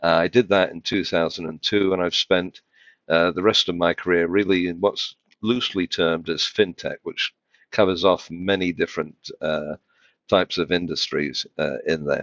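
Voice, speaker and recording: With a British accent, a man talks at a moderate pace in a very deep, low pitch with fairly even intonation. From UK. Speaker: financial tech executive. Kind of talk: podcast interview. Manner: hesitant, many fillers.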